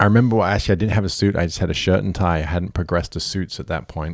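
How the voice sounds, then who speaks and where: Ordinary pitch variation comes through on a very clean recording with a silent background. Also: man. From England. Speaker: personal trainer. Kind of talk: casual chat.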